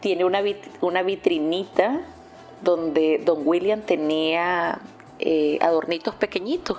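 Speaking very slowly with very even loudness, a woman with a Nicaraguan accent uses a fairly low pitch and ordinary pitch variation. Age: 40s. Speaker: journalist. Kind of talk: interview. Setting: radio station office.

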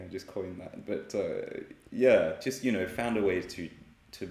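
With audible room echo, a man speaks in an Australian accent. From Australia (Sydney). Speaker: artist and illustrator. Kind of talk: casual interview. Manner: hesitant, many fillers.

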